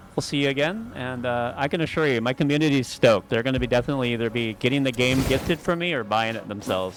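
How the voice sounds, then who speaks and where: A man at a very fast pace with hardly any pauses, medium pitch and ordinary pitch variation, plus noticeable background noise. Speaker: gaming streamer. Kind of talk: live stream gameplay commentary. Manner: casual, occasionally mixes up words.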